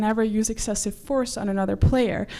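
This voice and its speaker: A woman's fairly high, dark and mellow voice with a Dutch accent at a fairly quick pace. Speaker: quidditch player and organiser. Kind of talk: presentation talk. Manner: fast.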